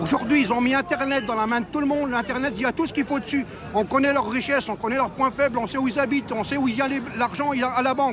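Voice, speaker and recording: Over noticeable background noise, a man talks at a very fast pace in an extremely high pitch. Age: 60s. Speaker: street protester. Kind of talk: street interview. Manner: animated.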